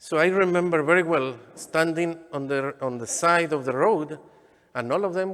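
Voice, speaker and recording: Fairly slow, high-pitched male voice with a strong Mexican accent and ordinary pitch variation. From Mexico, Michoacán. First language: Spanish. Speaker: deacon. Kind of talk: sermon. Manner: halting.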